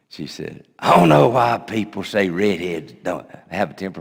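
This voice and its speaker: A man with a Southern US accent speaks at a moderate pace in a very deep, low pitch. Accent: US South. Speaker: pastor. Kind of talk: sermon. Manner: loud.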